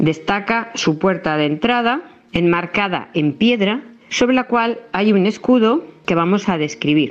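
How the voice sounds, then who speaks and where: Delivered at a fairly slow pace with lively intonation, this is an ordinary speaking voice. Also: woman. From Spain, La Mancha (Montiel). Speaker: historian and former town councillor. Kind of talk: prepared historical narration.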